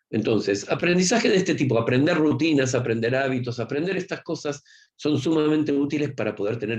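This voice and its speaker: With a Rioplatense accent, a man speaks at a fairly quick pace. His medium pitch carries lively intonation. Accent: Argentine Rioplatense Spanish. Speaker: university professor. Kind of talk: lecture. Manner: fast; informal, conversational.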